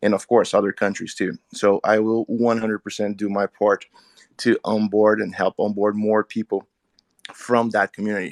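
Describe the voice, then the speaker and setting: In a Portuguese accent, a man with a fairly low pitch speaks at a moderate pace in a flat monotone, the sound dry and close with no echo. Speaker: crypto community member. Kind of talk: casual group audio chat.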